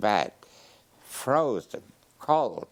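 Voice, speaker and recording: Speaking very slowly, a man delivers his words. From Poland. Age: 90s. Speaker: Holocaust survivor. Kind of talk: interview. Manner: halting.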